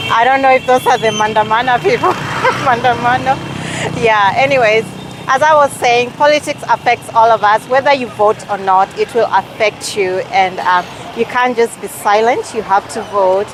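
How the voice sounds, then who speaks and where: There is noticeable background noise as a woman with a fairly high pitch speaks at a moderate pace. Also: ordinary pitch variation. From Kenyan heritage, raised partly abroad. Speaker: travel and lifestyle vlogger. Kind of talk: casual vlog to camera. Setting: outdoors in a city street. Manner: hesitant, with fillers.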